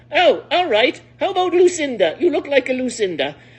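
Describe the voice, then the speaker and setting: Using a put-on character voice, a woman speaks high in pitch at a fairly quick pace. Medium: read story.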